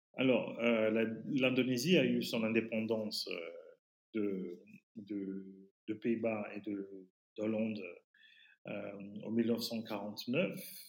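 A man's medium-pitched voice, very slow, with long, frequent pauses and fairly even intonation. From Fiji. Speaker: teacher and writer. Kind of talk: interview. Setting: remote call. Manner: halting.

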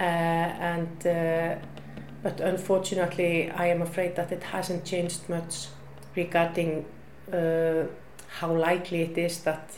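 Against noticeable background noise and audible room echo, a woman with an Icelandic accent speaks at a fairly slow pace in a fairly low voice. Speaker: women's shelter worker. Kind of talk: interview. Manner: halting, many fillers.

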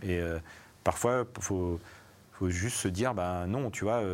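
This man's voice sits fairly low, with ordinary variation in pitch. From Savoie, France. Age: 40s. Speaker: music industry artistic director. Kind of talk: live panel interview. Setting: live event with audience, streamed.

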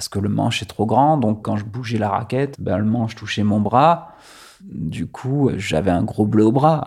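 A man speaks at a fairly low pitch and a fairly slow pace. The recording is very clean, with a silent background. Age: 30s. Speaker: former culture journalist, hemophilia patient. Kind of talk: personal testimony interview. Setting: at his home. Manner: hesitant, many fillers.

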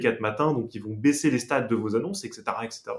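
A man at medium pitch, fairly quick pace and ordinary pitch variation. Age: 20s. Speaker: startup founder. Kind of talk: interview. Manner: halting, many fillers.

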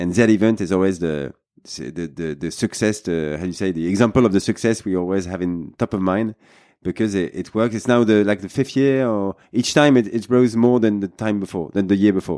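A man's dark, mellow, fairly low voice in a French accent, at a fairly quick pace. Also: ordinary pitch variation, quiet background. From France. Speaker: podcast host. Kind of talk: podcast interview.

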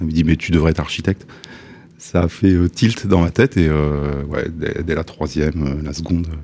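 A man's very deep, low pitch holds fairly even intonation as he talks at a moderate pace. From Le Havre, Normandy, France. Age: 60s. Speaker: architect. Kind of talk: interview. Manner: halting.

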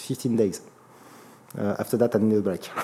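A man is speaking. He has a French accent. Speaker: startup executive. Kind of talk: interview. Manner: halting.

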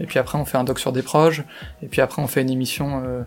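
Fairly even intonation is heard with music in the background. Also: man. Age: 30s. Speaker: chief financial officer. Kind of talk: interview. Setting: company office. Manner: hesitant, many fillers and repetitions.

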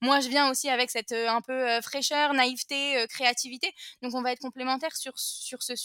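A woman speaks in a high, bright, sharp tone. The sound is dry and close, with no echo. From France. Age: 20s. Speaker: entrepreneur. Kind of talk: interview.

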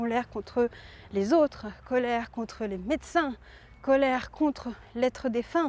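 Moderate-paced speech from a woman with a fairly high pitch. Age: 20s. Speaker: podcaster and entrepreneur. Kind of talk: personal monologue. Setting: outdoors, walking. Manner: halting.

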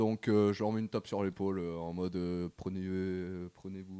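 A man talks at a fairly quick pace with a very deep, low pitch. His tone is dark and mellow, and his intonation is monotone and flat. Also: very clean recording, silent background. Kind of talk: casual chat.

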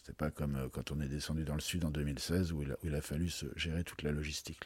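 The recording is very clean, with a silent background. A man with a dark, mellow tone talks at a fairly quick pace. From France, Troyes (Champagne). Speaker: wine merchant. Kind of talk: interview. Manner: halting, many repetitions.

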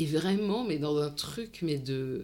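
Very deep and low in pitch, a woman speaks very slowly with a dark, mellow tone and lively intonation. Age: 40s. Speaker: psychologist and psychoanalyst, online video creator. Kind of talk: interview about personal career.

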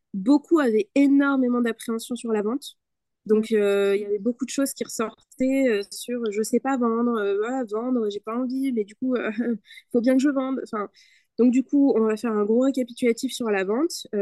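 Heard in a dry, close sound with no echo, a woman with a high pitch and a dark, mellow tone speaks at a moderate pace with fairly even intonation. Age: 20s. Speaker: digital communication consultant. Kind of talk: podcast interview.

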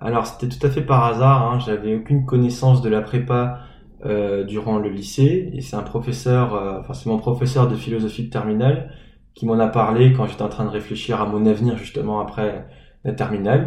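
With audible room echo, a man speaks at a medium pitch and moderate pace, somewhat breathy, with fairly even intonation. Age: 20s. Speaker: former preparatory class student. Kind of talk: interview. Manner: hesitant.

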